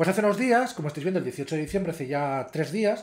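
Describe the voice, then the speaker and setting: Over a quiet background, a man speaks in a high voice at a fairly quick pace. His pitch varies in an ordinary way. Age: 30s. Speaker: YouTuber. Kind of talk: casual vlog commentary. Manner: hesitant, with fillers.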